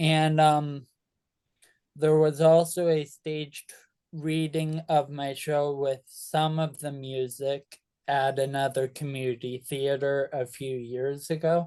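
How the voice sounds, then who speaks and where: Against a quiet background, the speaker delivers the words very slowly in a monotone, flat tone. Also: man, fairly high pitch for a man. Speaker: composer and playwright. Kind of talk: interview. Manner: halting.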